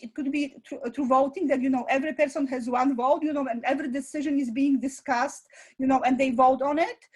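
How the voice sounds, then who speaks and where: At a fairly quick pace, a woman speaks with a high pitch and fairly even intonation. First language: not English. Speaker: school founder and director; parent. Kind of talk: interview. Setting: live online presentation. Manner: halting, many fillers.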